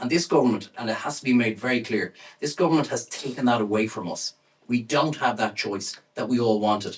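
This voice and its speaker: At a fairly quick pace, a man with an Irish accent talks in a medium pitch with ordinary pitch variation. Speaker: campaigner. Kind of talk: speech.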